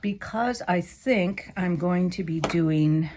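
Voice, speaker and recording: A woman talks at a very slow pace in a dark, mellow tone that is somewhat breathy. Her pitch varies in an ordinary way. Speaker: quilting teacher. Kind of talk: tutorial. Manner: casual, thinking aloud.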